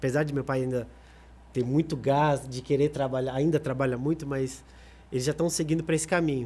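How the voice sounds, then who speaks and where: At a fairly quick pace, a man talks at a fairly high pitch with monotone, flat intonation. His voice is somewhat breathy, with a dark, mellow tone. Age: 30s. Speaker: singer. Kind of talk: podcast interview.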